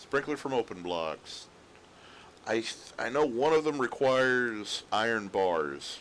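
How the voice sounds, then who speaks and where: Speaking at a fairly slow pace, a man uses a medium pitch with lively intonation. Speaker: gaming streamer. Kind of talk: casual gameplay commentary. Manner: rambling; quiet.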